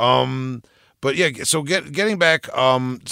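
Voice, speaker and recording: A man's medium-pitched voice with a Long Island accent, a bright, sharp tone and ordinary pitch variation. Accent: Long Island New York. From Long Island, New York. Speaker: podcast host. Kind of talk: casual interview. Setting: video call. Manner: casual, profane.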